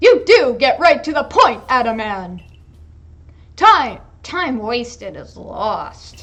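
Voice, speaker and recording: A female-sounding put-on character voice at a high pitch, with a very slow pace and long, frequent pauses. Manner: stern, authoritative.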